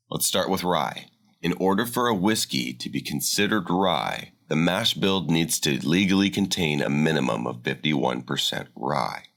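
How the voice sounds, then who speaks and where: Over a silent background on a very clean recording, a man with vocal fry speaks at a moderate pace in a very deep, low pitch with lively intonation. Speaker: voice actor. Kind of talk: scripted narration. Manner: explainer style.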